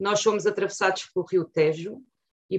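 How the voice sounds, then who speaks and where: A woman speaks in a normal speaking voice at a medium pitch, with fairly even intonation. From central Portugal (Torres Novas, Ribatejo). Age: 50s. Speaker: lawyer and political candidate. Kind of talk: political interview.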